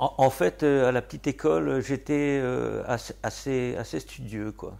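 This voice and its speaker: Fairly slow speech from a man on a very clean recording with a silent background. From Normandy, France (Argentan). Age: 60s. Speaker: poet and gardener. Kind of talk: interview. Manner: hesitant, many fillers.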